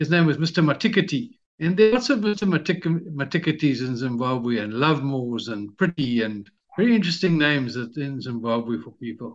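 A man with a fairly high pitch talks at a fairly quick pace, his voice making very wide pitch swings. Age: 60s. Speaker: retired entrepreneur and author. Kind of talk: interview.

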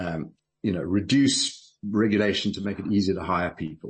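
Somewhat breathy, a man speaks at a fairly low pitch with lively intonation. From South Africa. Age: 60s. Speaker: businessman and political activist. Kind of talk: radio interview.

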